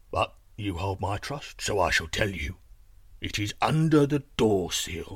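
Fairly slow and marked by big pitch swings, this put-on character voice carries a slightly husky edge. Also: man, fairly low pitch for a man.

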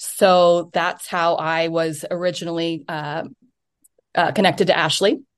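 A plain, everyday voice with an American accent, fairly even intonation and a fairly slow pace over a quiet background. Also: woman. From United States. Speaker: indoor cycling instructor and performance coach. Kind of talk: interview.

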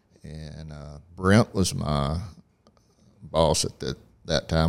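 Very deep and low, this man's voice carries vocal fry and ordinary pitch variation. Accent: Southeast Texas. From Southeast Texas, Port Acres near Port Arthur. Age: 60s. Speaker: church facilities manager. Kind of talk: casual interview. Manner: halting, with many fillers.

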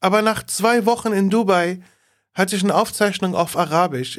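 The speech moves at a fairly slow pace. The recording is very clean, with a silent background. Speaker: comedian, podcast co-host. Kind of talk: casual chat. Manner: low energy.

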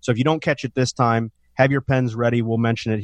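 Speaking at a fairly quick pace, a man uses a normal speaking voice at medium pitch. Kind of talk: infomercial-style sales pitch urging listeners to call for a free retirement review. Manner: urgent, pushy call-to-action, pitchy and promotional.

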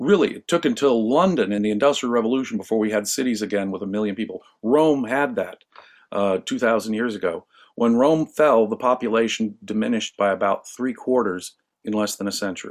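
With an American accent and a normal speaking voice, a man of medium pitch talks at a fairly quick pace with ordinary pitch variation, recorded very cleanly with a silent background. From US West Coast, Los Angeles. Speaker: philosophy scholar. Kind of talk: interview discussion.

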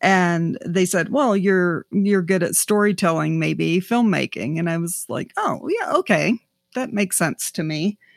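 An unremarkable speaking voice from a woman with an American accent, medium pitch and ordinary pitch variation at a fairly slow pace, in a very clean recording with a silent background and a dry, close sound with no echo. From US South, South Georgia. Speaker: artist and arts organization director. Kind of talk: interview conversation.

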